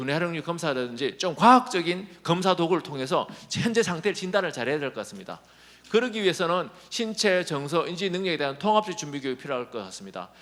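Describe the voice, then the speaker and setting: A man talks at a very fast pace and a high pitch. His intonation is lively, with big swings in loudness. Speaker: professor. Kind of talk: conference presentation. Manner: clear articulation.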